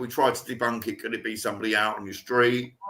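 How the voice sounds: A man's fast, bright, sharp voice, fairly low in pitch, with little pitch movement and audible room echo.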